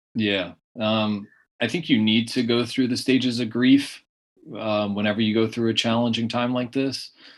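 With a Californian accent, a man speaks at a medium pitch in a monotone, flat intonation. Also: moderate pace. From US West Coast, San Diego area. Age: 30s. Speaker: blind golf champion. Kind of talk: interview.

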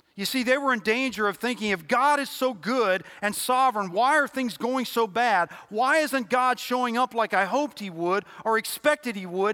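At a moderate pace and with hardly any pauses, a man projects a raised voice at an extremely high pitch. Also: ordinary pitch variation. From Louisville, Kentucky. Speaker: lay preacher. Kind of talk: sermon. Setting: church.

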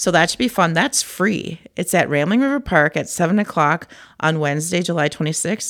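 The voice carries a Minnesotan accent and lively intonation. The recording is very clean, with a silent background. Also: woman, fairly low pitch for a woman, moderate pace. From Cannon Falls, Minnesota. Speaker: senior center recreation staff. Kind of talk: casual interview.

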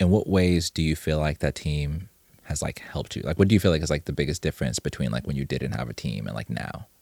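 The pace is very fast, with lively intonation and vocal fry. The sound is dry and close, with no echo. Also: man, very deep, low pitch for a man. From Zimbabwe. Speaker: podcast host. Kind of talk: casual interview.

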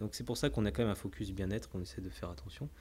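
Somewhat breathy, a man speaks with a dark, mellow tone and lively intonation. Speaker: company CEO and cofounder. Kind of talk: casual interview.

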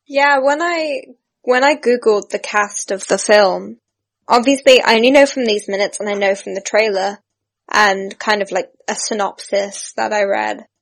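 A woman with a British accent, fairly high in pitch, at a moderate pace with ordinary pitch variation. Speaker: actress. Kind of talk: casual chat.

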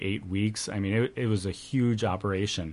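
In an American accent, a man speaks at a moderate pace. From Wisconsin, Janesville. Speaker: nonprofit executive. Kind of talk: radio interview. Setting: studio.

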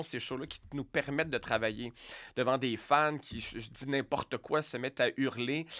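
A man speaks fairly slowly in a plain, everyday voice of fairly high pitch. The recording is very clean, with a silent background. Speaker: radio host and comedian. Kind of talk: casual interview.

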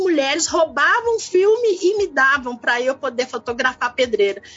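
A woman speaks at a moderate pace, her pitch swinging very widely. Noticeable background noise is present. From Belo Horizonte, Brazil. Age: 50s. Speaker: community activist and photographer. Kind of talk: interview.

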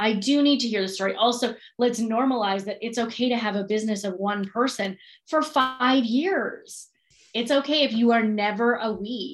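A woman's normal speaking voice, fairly high in pitch, with ordinary pitch variation and a moderate pace. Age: 30s. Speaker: podcast host, business coach. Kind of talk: casual chat.

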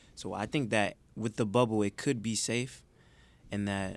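His voice sits at a fairly low pitch. The man has an American accent. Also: very clean recording, silent background. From Detroit, Michigan. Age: 20s. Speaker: college student and intern. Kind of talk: casual chat. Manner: smooth.

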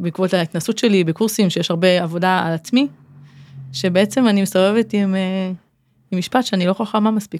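Sound is dry and close, without any echo. Delivery is at a moderate pace with ordinary pitch variation. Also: woman. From Israel, Kfar Saba. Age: 40s. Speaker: occupational therapist. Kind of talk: interview conversation.

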